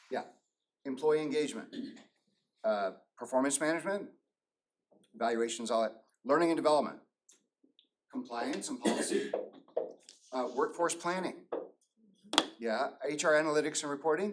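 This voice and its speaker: At a fairly quick pace broken by long, frequent pauses, a man speaks at a fairly high pitch with very wide pitch swings. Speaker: workshop presenter, AI business consultant. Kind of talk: live workshop presentation. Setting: room with live audience. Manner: fast; animated.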